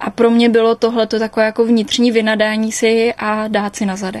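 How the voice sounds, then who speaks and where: Her voice is fairly high and somewhat breathy. This woman keeps a moderate pace. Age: 20s. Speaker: interviewee recovered from anorexia. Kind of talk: personal testimony.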